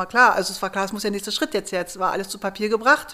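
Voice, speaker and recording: The recording is very clean with a silent background. A woman speaks with a bright, sharp tone at medium pitch with ordinary variation. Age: 40s. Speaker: startup founder, geoscientist. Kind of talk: interview, personal story. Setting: at home.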